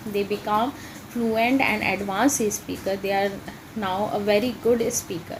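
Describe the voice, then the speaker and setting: A woman speaks with an Indian accent at a medium pitch and fairly even intonation. Noticeable background noise is present. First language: Hindi. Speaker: English teacher. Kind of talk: tutorial. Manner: halting, many fillers.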